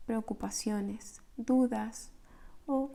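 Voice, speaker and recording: A soft-spoken woman speaks in a fairly high pitch with a somewhat breathy, dark, mellow tone. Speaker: meditation guide. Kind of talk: guided meditation.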